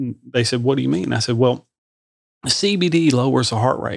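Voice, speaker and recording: A man talks at a fairly quick pace and a medium pitch, in a normal speaking voice. The sound is dry and close, with no echo. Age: 50s. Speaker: podcast host and shop owner. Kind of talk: casual interview chat. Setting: studio.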